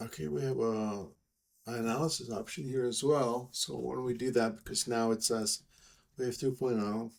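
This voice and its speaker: At a moderate pace, a man speaks with a Czech accent. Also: medium pitch for a man, ordinary pitch variation. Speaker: software developer. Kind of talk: screen-recorded software tutorial. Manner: casual, hesitant.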